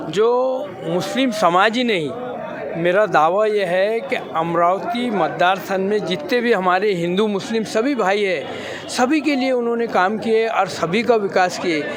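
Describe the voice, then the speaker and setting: Crowd noise and audible room echo sit behind a man's high-pitched voice. His pitch variation is ordinary. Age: 60s. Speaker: political party supporter. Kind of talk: street interview.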